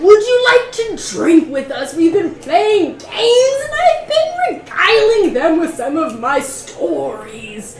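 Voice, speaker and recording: A woman puts on a character voice at an extremely high pitch with very wide pitch swings. She talks at a fairly slow pace over clear background noise. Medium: actual play. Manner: theatrical, flowery, oddly affected delivery.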